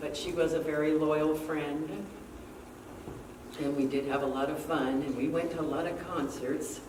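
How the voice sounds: A woman speaks at a low pitch and a moderate pace. Her intonation is fairly even, and room echo is audible.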